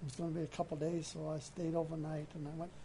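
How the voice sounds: Fast, fairly high-pitched speech from a man with a Maine accent, vocal fry and little pitch movement. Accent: Maine, New England.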